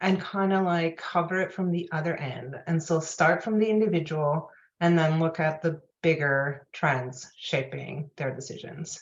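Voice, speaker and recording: A woman talks at a moderate pace with a non-native accent. Her pitch varies in an ordinary way. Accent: non-native accent, noticeable when nervous. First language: not English. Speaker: personal finance journalist and author. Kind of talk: interview. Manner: hesitant, many fillers.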